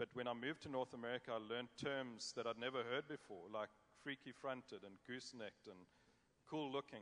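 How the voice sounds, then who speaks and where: Speaking with a South African accent, a man keeps a fairly quick pace. His pitch is medium and his intonation fairly even. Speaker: cattle judge. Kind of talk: panel discussion.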